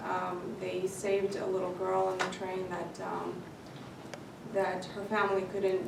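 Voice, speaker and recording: Very slow and soft-spoken, a woman at a medium pitch talks in a monotone, flat intonation, with audible room echo and noticeable background noise. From Baku, Azerbaijan. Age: 30s. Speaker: panelist. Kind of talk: panel discussion. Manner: halting, many fillers.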